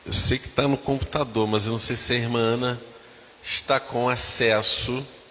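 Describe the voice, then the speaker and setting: Noticeable background noise sits behind a man talking at a moderate pace. His intonation is flat and monotone. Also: medium pitch for a man. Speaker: pastor. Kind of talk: church announcements.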